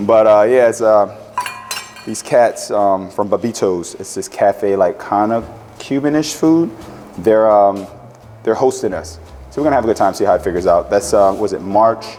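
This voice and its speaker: Man with a fairly low pitch, long, frequent pauses and music in the background. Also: ordinary pitch variation, moderate pace. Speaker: chef. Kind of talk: cooking demo. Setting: market with live audience. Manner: mumbling; loud.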